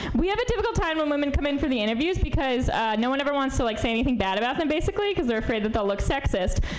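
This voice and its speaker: With an American accent, a woman talks very fast with hardly any pauses in a high voice full of very wide pitch swings, with audible room echo and noticeable background noise. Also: very even loudness. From New York. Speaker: stand-up comedian. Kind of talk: stand-up.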